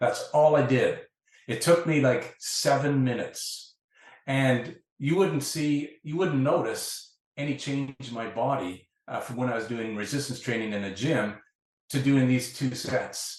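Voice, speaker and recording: A man talks fairly slowly at a fairly high pitch in an unremarkable speaking voice, with ordinary pitch variation. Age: 60s. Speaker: exercise science professor. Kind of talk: interview.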